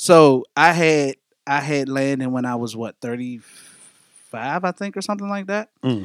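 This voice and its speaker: A man talks at a moderate pace with a fairly high pitch and lively intonation. The sound is dry and close, with no echo. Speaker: podcast host. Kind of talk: casual banter podcast chat. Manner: casual, laughing, slangy.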